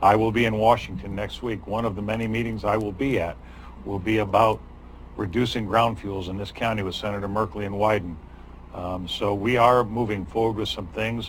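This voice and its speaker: Fairly quick speech with audible room echo. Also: man, fairly low pitch for a man. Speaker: county board chair. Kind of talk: public meeting. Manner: animated.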